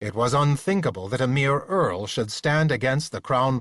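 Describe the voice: The pitch shifts in an ordinary way during this plain reading aloud.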